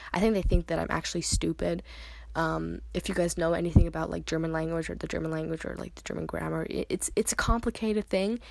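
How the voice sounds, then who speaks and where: A woman talks at a very fast pace with an American accent. The recording is very clean, with a silent background. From US, New Jersey. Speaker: podcast host. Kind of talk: casual monologue. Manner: halting, many fillers.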